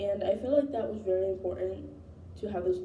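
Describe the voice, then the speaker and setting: There is audible room echo as a woman talks at a moderate pace. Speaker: college student. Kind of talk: spoken course reflection. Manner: hesitant with fillers.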